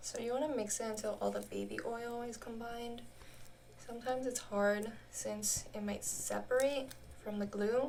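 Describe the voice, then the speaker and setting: Against noticeable background noise, a woman with an American accent talks at a moderate pace. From United States. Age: 20s. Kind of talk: casual talk to camera.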